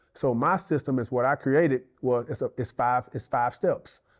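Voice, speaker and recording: A man's medium-pitched voice with ordinary pitch variation, at a moderate pace against a quiet background. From US South, northern Mississippi. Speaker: real estate agent, former college athlete. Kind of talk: interview. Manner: loud.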